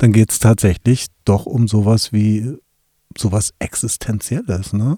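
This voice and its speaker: Fairly low and dark, a man's mellow voice comes across somewhat breathy, with fairly even intonation at a fairly slow pace. The sound is dry and close, with no echo. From Wolfsburg, Lower Saxony, Germany. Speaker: communication expert and podcast co-host. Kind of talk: casual chat.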